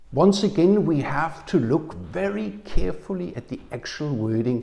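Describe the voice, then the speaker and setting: Against a quiet background, a somewhat breathy man speaks with very wide pitch swings. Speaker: preacher. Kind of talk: sermon. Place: home room. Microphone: lapel.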